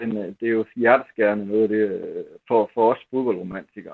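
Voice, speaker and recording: Fairly low and fairly even in intonation, a man talks in an unremarkable speaking voice. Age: 50s. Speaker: newspaper columnist, football fan. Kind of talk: interview. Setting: phone call.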